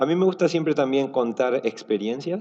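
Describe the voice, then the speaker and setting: A man's dark, mellow tone with lively intonation. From Argentina. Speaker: software engineer, conference speaker. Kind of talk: conference talk. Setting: stage with audience. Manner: relaxed, casual with many fillers.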